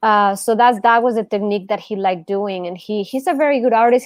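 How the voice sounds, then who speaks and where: Ordinary pitch variation runs through speech delivered at a fairly quick clip. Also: woman. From Mexico. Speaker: art teacher, channel host. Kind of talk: casual chat during online art class.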